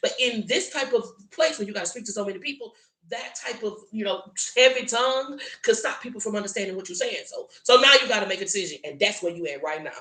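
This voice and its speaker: Over noticeable background noise, a woman speaks in an animated tone. Her intonation is lively. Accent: American. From US South, South Louisiana. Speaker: tarot reader. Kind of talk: tarot reading livestream. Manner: animated, emphatic.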